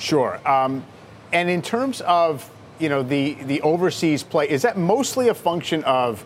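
This man has an ordinary speaking voice, fairly high in pitch, with lively intonation. He talks at a fairly slow pace. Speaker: TV financial news host. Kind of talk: live TV interview. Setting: studio on stock exchange floor.

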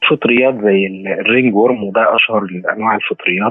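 A man speaks at a moderate pace. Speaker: veterinarian. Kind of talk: expert explanation in an interview.

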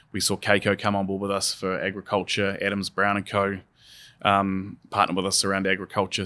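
Very fast and bright with a sharp tone, a man speaks at a fairly low pitch with a New Zealand accent on a very clean recording with a silent background. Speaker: software company country manager. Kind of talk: podcast interview. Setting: in person at a conference.

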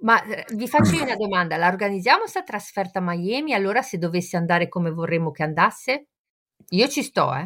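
Using an ordinary speaking voice, a woman speaks at a medium pitch and a fairly quick pace with lively intonation. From Genoa, Italy. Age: 50s. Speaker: focaccia baker, football fan. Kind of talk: casual chat.

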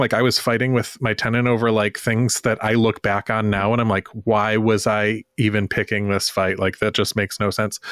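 Dry and close with no echo, a man talks in an unremarkable speaking voice at medium pitch and a moderate pace. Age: 40s. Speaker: real estate investor. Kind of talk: interview.

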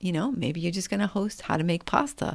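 A woman speaks in an animated tone at a fairly low pitch. Vocal fry runs through her voice. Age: 50s. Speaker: podcast host. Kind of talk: casual monologue.

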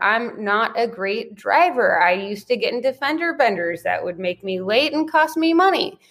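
A woman with a high pitch talks at a fairly slow pace, her voice swinging very widely in pitch. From US. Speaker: entrepreneur and podcast guest. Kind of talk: interview conversation.

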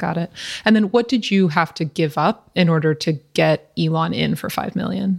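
A woman's fairly low-pitched voice with vocal fry and ordinary pitch variation, on a very clean recording with a silent background. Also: moderate pace. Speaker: podcast host. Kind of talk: interview, polished intro.

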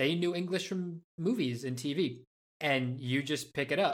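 An ordinary speaking voice with an American accent moves at a fairly slow pace with ordinary pitch variation. The recording is very clean, with a silent background. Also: man. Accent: North American-ish. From Spain (Madrid), international school. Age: 30s. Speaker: actor and filmmaker. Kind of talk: interview.

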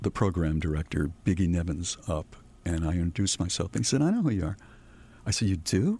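In an American accent, a man speaks fairly quickly with very deep, low pitch and a dark, mellow tone. His voice is somewhat breathy, on a very clean recording with a silent background. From Massachusetts. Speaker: radio veteran. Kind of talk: casual interview.

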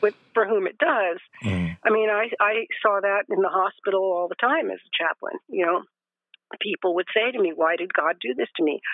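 A woman with an American accent speaks at a moderate pace in an unremarkable speaking voice, her medium pitch carried by lively intonation. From Los Angeles, California. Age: 60s. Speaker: end of life educator and grief counselor. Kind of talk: casual interview conversation.

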